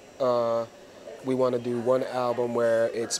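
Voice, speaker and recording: A man with an American accent, noticeable background noise behind him. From US Northeast (New Jersey). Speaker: musician and rapper. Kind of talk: casual interview. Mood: relaxed, enthusiastic. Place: studio. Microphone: lapel.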